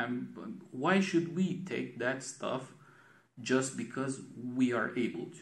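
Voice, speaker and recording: A man with a Romanian accent and lively intonation, plus audible room echo. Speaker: design vlogger. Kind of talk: casual monologue vlog. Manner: halting, many repetitions.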